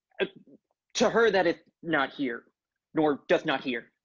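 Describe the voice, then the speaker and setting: In a put-on character voice, the speaker moves at a moderate pace with lively intonation. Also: man, fairly high pitch for a man. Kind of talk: Shakespearean verse acting. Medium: stage play. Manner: earnest, yearning.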